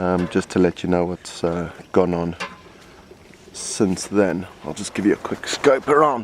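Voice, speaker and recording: A soft-spoken man with a British accent and a very deep, low pitch talks at a fairly slow pace over noticeable background noise. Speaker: soldier keeping a video diary. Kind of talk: video diary. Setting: outdoors in the desert in Afghanistan. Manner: quiet, speaking softly.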